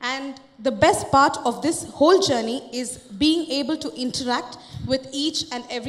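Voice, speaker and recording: Noticeable background noise sits behind a woman's high-pitched voice. She speaks with hardly any pauses and ordinary pitch variation. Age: 20s. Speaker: company employee presenting. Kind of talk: conference presentation. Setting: stage with audience.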